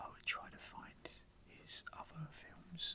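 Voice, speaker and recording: Someone is whispering. The pace is very slow. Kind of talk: soft-spoken ASMR talk about personal film memories. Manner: whispered, soft-spoken.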